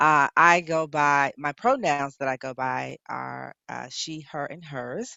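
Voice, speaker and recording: A woman speaks at a very slow pace with hardly any pauses, her loudness swinging widely. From US South, Nashville, Tennessee. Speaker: reverend, panel guest. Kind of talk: panel discussion.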